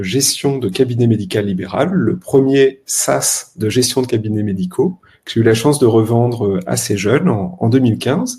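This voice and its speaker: Here a man with an ordinary speaking voice talks at a moderate pace and medium pitch, with ordinary pitch variation. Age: 30s. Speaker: health tech startup co-founder. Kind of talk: podcast interview.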